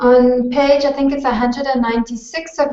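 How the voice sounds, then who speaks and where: A woman with a plain, everyday voice, fairly even intonation and a moderate pace. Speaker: university tutor. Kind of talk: online tutorial.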